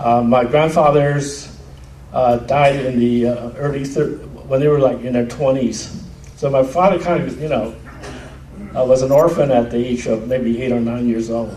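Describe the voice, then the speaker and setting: Speech moves at a moderate pace with audible room echo. Noticeable background noise is present. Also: man, medium pitch for a man. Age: 60s. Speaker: veterans' family member speaker. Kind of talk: reunion speech.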